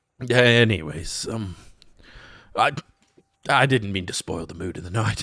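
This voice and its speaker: Using a raspy, put-on character voice of medium pitch, a man speaks at a moderate pace with lively intonation. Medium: actual play. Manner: hesitant, halting, earnest.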